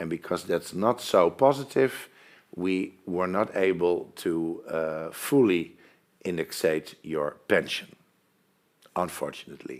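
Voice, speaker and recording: A man with a Dutch accent speaks at a fairly slow pace in a very deep, low pitch. He leaves long, frequent pauses. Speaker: pension fund presenter. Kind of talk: webinar presentation. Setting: online webinar.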